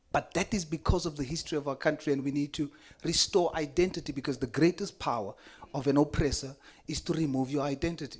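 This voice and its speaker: Talking at a very fast pace, a man keeps a fairly high pitch with ordinary pitch variation. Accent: South African. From South Africa. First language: Afrikaans. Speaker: politician. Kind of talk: committee hearing statement.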